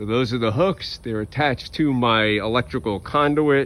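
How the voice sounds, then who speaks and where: An unremarkable speaking voice from a man, medium in pitch, with ordinary pitch variation and a fairly slow pace. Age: 60s. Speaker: home gardener. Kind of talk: casual vlog narration. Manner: casual, conversational.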